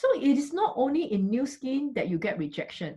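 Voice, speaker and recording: A high-pitched woman's voice with a Singaporean accent and very wide pitch swings. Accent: Singaporean English (Singlish). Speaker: network marketing business leader. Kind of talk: motivational talk. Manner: animated.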